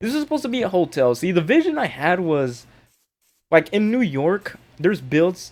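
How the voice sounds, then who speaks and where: Very wide pitch swings from a man, in a very clean recording with a silent background. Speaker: gaming youtuber. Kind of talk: game walkthrough commentary. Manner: fast; casual, filler-heavy.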